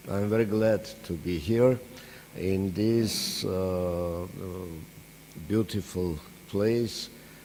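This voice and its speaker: With an Armenian accent, a man speaks at a very slow pace with long, frequent pauses and a fairly low pitch. His intonation is fairly even, while room echo and noticeable background noise can be heard. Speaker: professor. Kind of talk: lecture. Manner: hesitant, many filler sounds.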